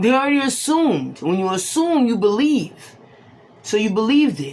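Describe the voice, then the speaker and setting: Over audible room echo, a woman's fairly high voice makes very wide pitch swings. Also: moderate pace. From Boston, Massachusetts, Haitian family. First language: Haitian Creole. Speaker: tarot reader. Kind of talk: casual talk to camera.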